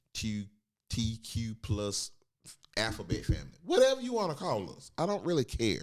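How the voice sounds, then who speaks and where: This man's voice is animated. He speaks with an animated tone. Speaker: transgender guest sharing personal views. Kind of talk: casual podcast conversation.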